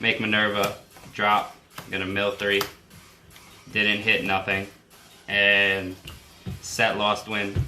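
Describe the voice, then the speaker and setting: A man talks at a very slow pace with a fairly low pitch and monotone, flat intonation. Long, frequent pauses break up his speech over noticeable background noise. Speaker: card game YouTuber. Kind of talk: gameplay tutorial. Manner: casual.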